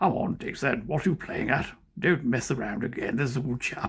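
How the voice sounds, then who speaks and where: A man at medium pitch puts on a raspy character voice, talking at a fairly quick pace. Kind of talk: genteel, old-fashioned. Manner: scolding, coaxing.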